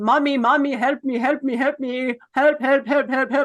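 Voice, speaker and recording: In a put-on character voice with a German accent, someone shouts at a high pitch and moderate pace with monotone, flat intonation. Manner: yelling, pleading.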